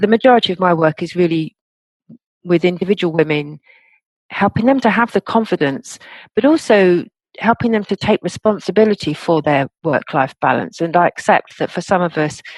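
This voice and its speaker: Speaking at a fairly quick pace with lively intonation, a woman with an English accent has a fairly low pitch, and the sound is dry and close with no echo. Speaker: coach and author. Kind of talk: interview.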